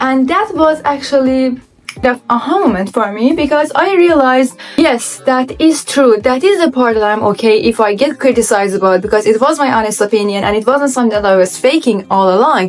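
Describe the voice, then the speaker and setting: Noticeable background noise sits behind a woman with a high pitch who talks at a fairly quick pace with lively intonation, hardly any pauses and very even loudness. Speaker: content creator. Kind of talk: vlog monologue. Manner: fast; unscripted.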